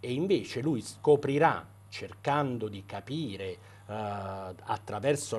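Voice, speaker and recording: At a very slow pace, a man with a fairly low pitch speaks with lively intonation. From Italy. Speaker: doctor and debut novelist. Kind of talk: interview. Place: studio. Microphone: lapel.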